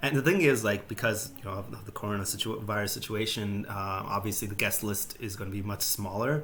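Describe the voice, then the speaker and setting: Over noticeable background noise, a man with a fairly low voice talks at a fairly quick pace, with ordinary pitch variation and hardly any pauses. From India. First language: Telugu. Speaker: streamer. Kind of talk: casual chat. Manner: halting.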